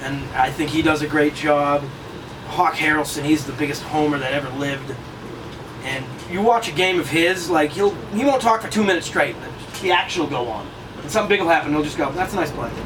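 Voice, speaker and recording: A man's fairly high-pitched voice in a Massachusetts accent, with ordinary pitch variation, a fairly quick pace and long, frequent pauses, over noticeable background noise. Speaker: play-by-play radio announcer. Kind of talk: interview answer. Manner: energetic, exuberant.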